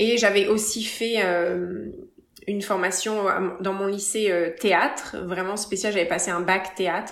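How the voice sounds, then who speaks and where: A woman at medium pitch, very slow and monotone with flat intonation, in audible room echo. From France, Paris area. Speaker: retired dancer and yoga teacher. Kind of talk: casual interview.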